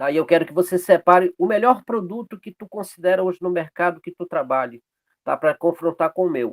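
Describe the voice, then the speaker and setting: A man's high voice at a fairly quick pace with ordinary pitch variation, in a dry, close sound with no echo. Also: big swings in loudness. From Pará, northern Brazil. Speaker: açaí business owner. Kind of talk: online networking meeting talk.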